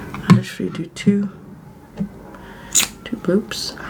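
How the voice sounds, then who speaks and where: Over music in the background, a woman whispers in a gentle tone at a fairly slow pace. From London, England. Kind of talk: ASMR get ready with me makeup tutorial, casual talk to camera. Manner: soft-spoken, gentle, real time.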